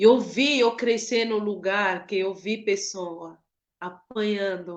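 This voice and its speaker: Delivery comes at a very slow pace with fairly even intonation. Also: woman, medium pitch for a woman. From Cameroon. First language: not Portuguese; Cameroonian languages/French or English (speaking Portuguese). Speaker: author and lawyer. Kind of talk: book launch speech. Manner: emotional, emphatic.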